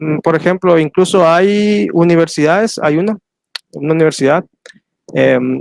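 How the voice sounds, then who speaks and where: This man has a high-pitched voice, captured with a dry, close sound that carries no echo. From Soconusco, Chiapas, southern Mexico. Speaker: historian and teacher. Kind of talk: lecture Q&A. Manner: hesitant, many fillers.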